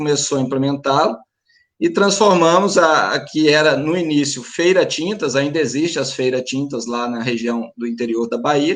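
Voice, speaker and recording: A man with a rural Minas Gerais accent talks at a moderate pace. His voice sits fairly high, with ordinary pitch variation. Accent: rural Minas Gerais accent, kept. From Minas Gerais, Brazil. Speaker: paint store franchise owner. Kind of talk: panel discussion. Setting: live stream.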